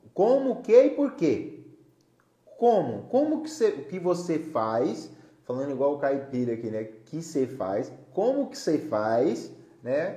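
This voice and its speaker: With an animated tone and very wide pitch swings, a man talks at a fairly slow pace amid audible room echo. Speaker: live-stream host, therapist-style educator. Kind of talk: solo live stream talk. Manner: loud, gets louder as he warms up.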